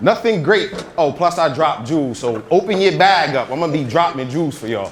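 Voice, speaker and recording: The speaker has an American accent and lively intonation at a very fast pace. Background noise is noticeable. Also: man, fairly high pitch for a man. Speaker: motivational speaker. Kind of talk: motivational talk. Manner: loud; energetic.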